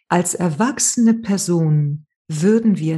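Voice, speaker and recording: Her voice is fairly low in pitch, dark and mellow, and somewhat breathy. The woman's pitch varies in an ordinary way. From Spain, Malaga. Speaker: trauma therapist and author. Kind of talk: interview.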